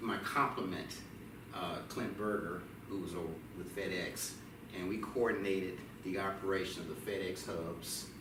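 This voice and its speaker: A man in a Memphis accent, very deep and low in pitch, monotone and flat, at a fairly slow pace with audible room echo. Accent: Southern US (Memphis). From US South, Memphis, Tennessee. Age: 60s. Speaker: retired postal worker, son of a veteran. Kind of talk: interview. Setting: museum, on camera. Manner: hesitant with fillers.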